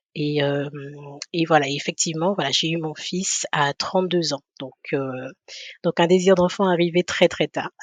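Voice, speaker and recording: A woman speaks slowly, with fairly low pitch and fairly even intonation. Long pauses come often. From Guadeloupe. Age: 30s. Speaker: podcast guest, mother. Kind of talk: interview testimony. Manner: halting, many hesitations.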